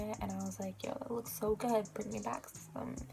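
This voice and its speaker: A woman's voice moves at a moderate pace while faint music sits behind it. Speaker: vlogger. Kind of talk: casual vlog chat. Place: home room. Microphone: phone near.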